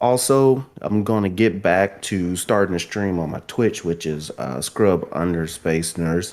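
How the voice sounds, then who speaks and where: With a strong Southern US accent, a man with a very deep, low pitch speaks fairly slowly, with ordinary pitch variation and hardly any pauses. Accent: strong Southern US drawl. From US South. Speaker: guest gaming podcaster and drummer. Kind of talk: casual chat.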